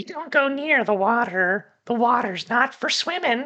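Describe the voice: This put-on character voice is squeaky and fairly high in pitch, moving at a moderate pace.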